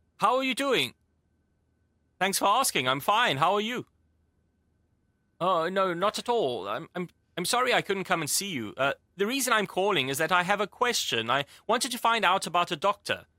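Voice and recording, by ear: Delivered at a moderate pace, a put-on character voice with a bright, sharp tone and big pitch swings sounds out on a very clean recording with a silent background. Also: man, high pitch for a man.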